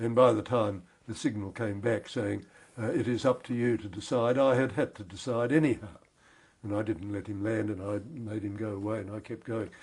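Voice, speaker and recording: Somewhat breathy, a man with an Australian accent speaks at a moderate pace in a fairly low pitch and fairly even intonation. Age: 80s+. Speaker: war veteran. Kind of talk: interview. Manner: halting.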